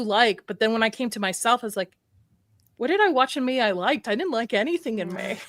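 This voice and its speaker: A woman talks at a very fast pace with lively intonation and a fairly high pitch. The recording is very clean, with a silent background. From US, in a mostly Arabic-speaking household. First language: Arabic. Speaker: horror YouTuber, live stream host. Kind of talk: live stream panel chat.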